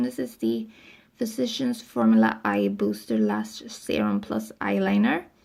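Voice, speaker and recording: A woman speaks at a moderate pace with a non-native accent. The recording is very clean, with a silent background. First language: not English. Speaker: beauty vlogger. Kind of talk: casual product review. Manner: casual, with filler ums.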